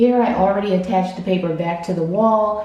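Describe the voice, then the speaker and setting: A soft-spoken woman is heard over noticeable background noise. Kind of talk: casual DIY talk to camera.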